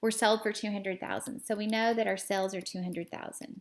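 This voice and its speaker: In a very clean recording with a silent background, a woman with a plain, everyday voice speaks at a fairly high pitch with fairly even intonation. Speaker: accounting teacher. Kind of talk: tutorial.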